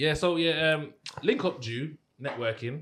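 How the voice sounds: At a fairly slow pace, a man speaks with a fairly bright tone. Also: fairly high pitch for a man, ordinary pitch variation.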